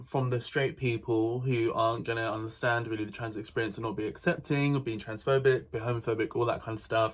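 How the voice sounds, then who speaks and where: A man talks at a moderate pace with fairly even intonation. He has a normal speaking voice. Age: 20s. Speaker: YouTube reaction commentator. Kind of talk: reaction commentary.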